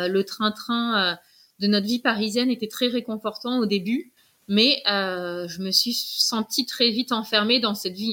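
Very slowly, a woman speaks with a bright, sharp tone at a fairly high pitch and fairly even intonation. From Paris. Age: 30s. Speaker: podcast guest, mother who relocated. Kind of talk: interview testimony. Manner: hesitant with fillers.

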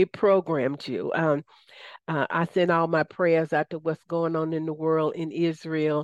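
In a quiet background with a dry, close sound and no echo, a woman with a Southern US accent speaks fairly slowly in a fairly low voice. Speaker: radio host. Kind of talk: radio interview, spiritual talk.

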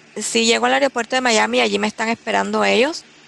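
A woman's voice over noticeable background noise. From Cuba, Candelaria (Artemisa). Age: 60s. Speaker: writer and editor. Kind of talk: personal storytelling interview.

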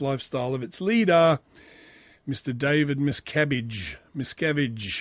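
Over a quiet background, a man with an Australian accent talks at a moderate pace, his fairly high voice full of lively intonation. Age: 40s. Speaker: podcast host. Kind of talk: solo monologue reading and commenting on news.

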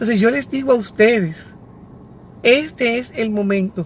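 Somewhat breathy and fairly high-pitched, a woman speaks slowly in an animated tone. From Dominican Republic, Santiago. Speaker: educator and psycho-pedagogical consultant. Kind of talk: live stream talk to parents.

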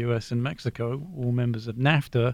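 Speaking at a moderate pace, a man with an English accent uses a medium pitch and fairly even intonation. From southern England, Brighton. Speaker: economics professor. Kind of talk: radio panel discussion.

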